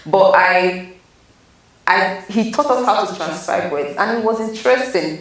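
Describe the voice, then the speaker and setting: A woman's medium-pitched voice with a Nigerian accent, fairly slow in pace and lively in intonation, against noticeable background noise. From Nigeria (south-south, Rivers). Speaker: PhD student. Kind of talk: interview.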